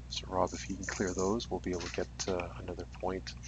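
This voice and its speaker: A man speaks at a moderate pace with a somewhat breathy voice. His pitch swings very widely. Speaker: livestream game commentator. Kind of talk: live commentary. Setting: furnace room, live stream.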